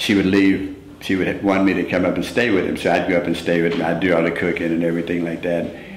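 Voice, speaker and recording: Amid noticeable background noise and audible room echo, a man with a very deep, low voice races along at a very fast pace in a monotone, flat delivery with hardly any pauses. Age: 60s. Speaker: former track athlete. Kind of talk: interview. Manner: halting.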